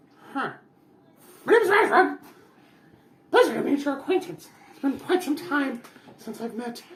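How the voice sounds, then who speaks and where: A put-on character voice, high in pitch, at a moderate pace with long, frequent pauses. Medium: actual play. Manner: formal, prim, self-important.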